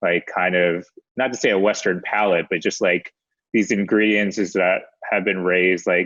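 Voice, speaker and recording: Flat and monotone, a man speaks with an American accent. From US, Maryland near DC. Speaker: documentary film director. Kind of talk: casual chat interview. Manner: casual, many fillers.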